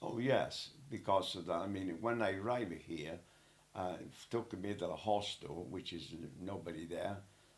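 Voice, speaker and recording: Over audible room echo, a man with a very deep, low pitch speaks at a moderate pace with ordinary pitch variation. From Italy. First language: Italian. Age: 80s+. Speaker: elderly interviewee. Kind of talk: casual interview. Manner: halting.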